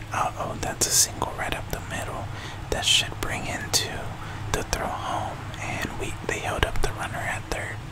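Loud background noise behind a male speaker at a moderate pace. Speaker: video game streamer / YouTuber. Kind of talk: live play-by-play style gameplay commentary. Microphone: studio mic.

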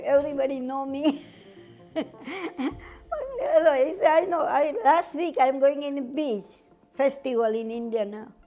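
A woman at a high pitch with ordinary pitch variation and a fairly slow pace, over faint music in the background. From Gujarat, India; raised in Uganda. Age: 80s+. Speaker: head chef, restaurant owner. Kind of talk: interview answer. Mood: warm, cheerful, animated. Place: cafe. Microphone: lapel.

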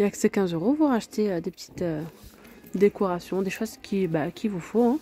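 Over light background noise, a woman's dark, mellow voice carries lively intonation in a dry sound with no echo. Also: moderate pace. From France. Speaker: video blogger touring a store. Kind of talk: street-market pitchman patter, rattling off products and prices to camera. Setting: in a shop, filming on location. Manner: repetitive hype, with 'regardez' and 'hein' hooks. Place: shop. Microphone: phone near.

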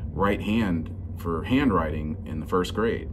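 Music is audible in the background while the man talks. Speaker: bass reviewer. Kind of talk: casual vlog chat. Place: shop. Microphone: phone near.

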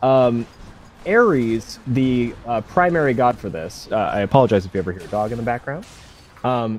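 A man speaks at a medium pitch with lively intonation. Music plays in the background. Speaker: speedrun commentator. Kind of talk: live commentary. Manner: halting.

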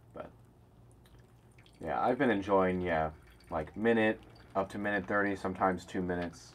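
A man talks at a moderate pace with a low-pitched voice. His tone is fairly bright.

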